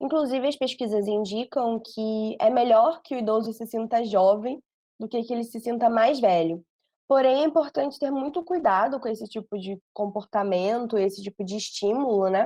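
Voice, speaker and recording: Dark, mellow tone from a woman, fairly high in pitch, with ordinary pitch variation at a moderate pace. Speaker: psychologist. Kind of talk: podcast interview.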